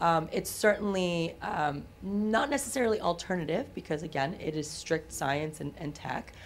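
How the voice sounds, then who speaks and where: At a moderate pace, a woman speaks with a fairly low pitch and vocal fry. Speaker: genetic testing company founder. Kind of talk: casual chat. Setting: studio.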